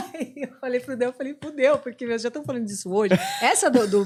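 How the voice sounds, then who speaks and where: With a strong São Paulo accent, a woman talks very fast in a high voice with very wide pitch swings. Her tone is animated. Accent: thick São Paulo (paulistano). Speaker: rock radio host. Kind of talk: casual podcast chat.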